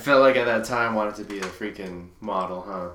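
A man speaks fairly quickly in a fairly low pitch with a bright, sharp tone. Audible room echo surrounds his voice. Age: 20s. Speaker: true crime podcast host. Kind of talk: casual chat.

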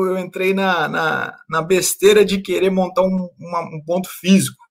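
A man with a high voice speaks at a moderate pace. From Brazil, interior of Rio de Janeiro state. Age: 30s. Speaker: personal finance content creator. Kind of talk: casual interview chat.

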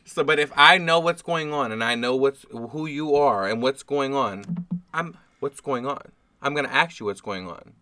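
Music plays in the background as a man talks at a moderate pace. His voice is fairly high in pitch, and his intonation is lively. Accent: American. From New Orleans. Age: 20s. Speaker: podcast guest. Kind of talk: casual chat. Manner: soft-spoken.

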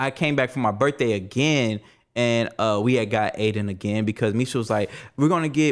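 A man talks in an ordinary speaking voice with ordinary pitch variation, and the recording is very clean with a silent background. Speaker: podcast host and DJ. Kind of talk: casual interview.

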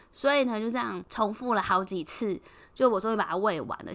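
Fairly high-pitched with vocal fry, a woman's voice moves at a fairly quick pace. Her intonation is lively. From Taiwan. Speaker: podcast host. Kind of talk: casual solo podcast monologue. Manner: hesitant, many filler sounds.

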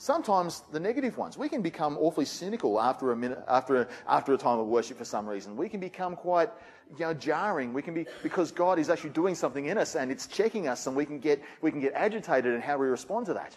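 Talking at a very fast pace with an Australian accent, a man has a fairly high pitch and very wide pitch swings. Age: 40s. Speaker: pastor. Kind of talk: sermon.

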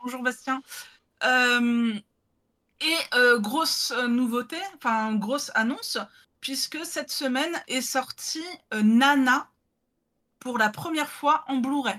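A woman uses a raised, projected voice with a bright, sharp tone and high pitch, showing ordinary pitch variation. She speaks at a very slow pace with long, frequent pauses. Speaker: podcast host. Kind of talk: casual chat. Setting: video call over Discord.

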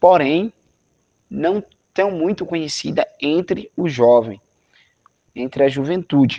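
Speaking very slowly with long, frequent pauses, a man has a fairly high pitch and a dark, mellow tone. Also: lively intonation. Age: 20s. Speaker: youth movement coordinator. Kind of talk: interview. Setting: video call.

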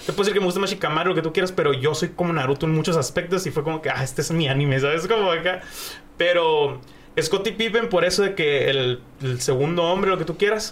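Against noticeable background noise, a man with a high pitch speaks at a very fast pace with ordinary pitch variation. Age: 20s. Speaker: streamer and content creator. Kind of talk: casual chat. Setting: studio.

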